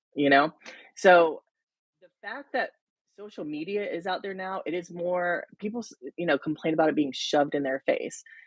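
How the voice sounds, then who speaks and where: The speech carries a slight Southern accent and ordinary pitch variation. The sound is dry and close, with no echo. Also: woman, fairly low pitch for a woman, big swings in loudness. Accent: slight southern drawl. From US South, rural South Carolina. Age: 30s. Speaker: interview guest, reality TV fan. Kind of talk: casual interview.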